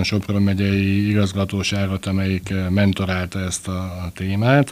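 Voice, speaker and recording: Flat, monotone intonation at a fairly slow pace. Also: man. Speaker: sports journalist, book author. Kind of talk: casual interview.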